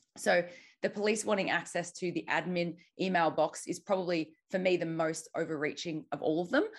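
Over a quiet background, a woman with an Australian accent speaks at a fairly quick pace and fairly low pitch. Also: ordinary pitch variation. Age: young. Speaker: activist and journalist. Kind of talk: interview. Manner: halting.

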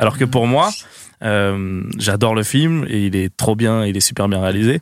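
On a very clean recording with a silent background, a man with an ordinary speaking voice keeps a medium pitch and a moderate pace, his pitch varying in an ordinary way. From Seine-Saint-Denis, Paris suburbs, France. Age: 20s. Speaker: online video creator. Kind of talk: casual chat.

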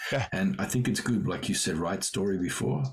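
With music playing in the background, a man with an Australian accent speaks at a moderate pace. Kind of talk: casual chat. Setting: video call.

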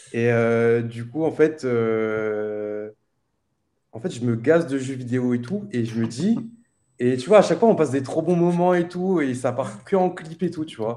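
The man's tone is dark and mellow. His intonation is lively. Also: medium pitch for a man. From Réunion. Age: 20s. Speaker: streamer. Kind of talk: casual chat.

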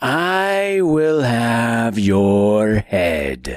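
A man puts on a character voice with very wide pitch swings. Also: medium pitch for a man. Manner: menacing, crying out.

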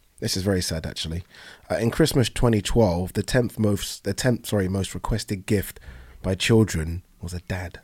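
A somewhat breathy man with a southern English accent, fairly low-pitched, at a moderate pace, with ordinary pitch variation, dry and close with no echo, on a very clean recording with a silent background. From southern England (Brighton), Nigerian-born. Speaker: podcast host. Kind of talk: casual chat.

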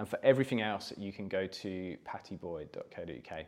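Speaking fairly quickly, a man uses ordinary pitch variation. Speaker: co-host. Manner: hesitant, many filler words.

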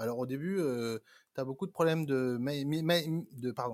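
Speaking at a fairly quick pace with ordinary pitch variation, the voice comes through a very clean recording with a silent background and a dry, close sound with no echo. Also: man. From France. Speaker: entrepreneur. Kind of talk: interview. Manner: halting.

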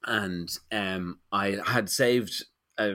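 A man with a Dublin accent speaks in a bright, sharp tone. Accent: Dublin Irish. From Ireland, Dublin. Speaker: illustrator and picture book author. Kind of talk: interview conversation. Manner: halting, many fillers and repetitions.

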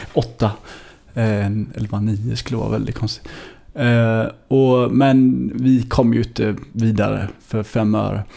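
Very slow in pace, the voice has a dark, mellow tone and monotone, flat intonation. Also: man, medium pitch for a man. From Sweden, Gothenburg (Hammarkullen). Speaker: singer-songwriter. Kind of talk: casual interview.

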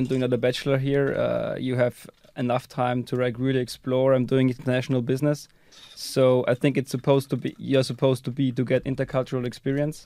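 Fairly quick delivery from a man, monotone and flat, with noticeable background noise. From Austria. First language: German. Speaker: university student. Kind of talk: interview. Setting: studio. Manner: halting.

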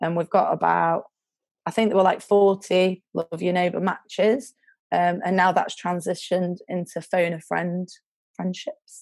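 A woman's fairly low voice in a Lancashire accent, with fairly even intonation and a fairly slow pace. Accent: Lancashire northern English. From northern England. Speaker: charity worker. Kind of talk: casual interview chat. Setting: video call.

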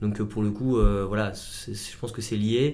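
A fairly low-pitched man's voice at a fairly quick pace with audible room echo. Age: 20s. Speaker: optician and company co-founder. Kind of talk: casual chat.

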